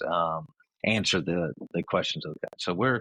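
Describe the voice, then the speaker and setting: A man with a Memphis accent at a moderate pace. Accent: Southern US (Memphis). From US South, Memphis, Tennessee. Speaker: company CEO. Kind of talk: podcast interview. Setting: remote call. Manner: halting, many fillers.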